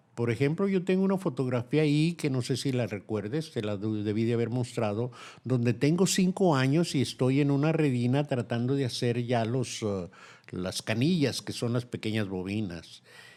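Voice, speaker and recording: In a very clean recording with a silent background, a man with a dark, mellow tone talks at a medium pitch with lively intonation. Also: moderate pace. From Mexico. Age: 70s. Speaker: textile artisan. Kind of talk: interview.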